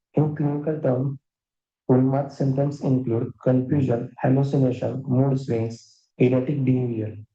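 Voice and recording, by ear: The tone is dark and mellow, with little pitch movement. Delivery is at a moderate pace amid audible room echo. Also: man.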